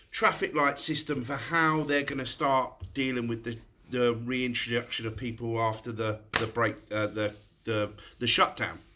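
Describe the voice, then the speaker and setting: Using a put-on character voice, a man mumbles at a moderate pace and a medium pitch. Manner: mumbling.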